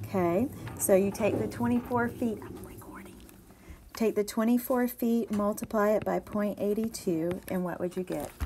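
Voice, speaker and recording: With lively intonation and big swings in loudness, a woman talks at a moderate pace over noticeable background noise. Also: medium pitch for a woman. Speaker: math teacher. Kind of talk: video lesson tutorial.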